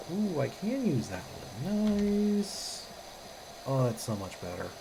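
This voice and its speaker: Speaking very slowly, a woman at medium pitch swings her pitch very widely, with audible room echo and noticeable background noise. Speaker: game streamer. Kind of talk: casual gameplay commentary.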